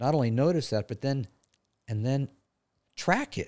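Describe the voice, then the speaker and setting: A man's voice has a dry, close sound with no echo. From California, Santa Barbara County. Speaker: retiring therapist. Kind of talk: casual interview. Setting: studio.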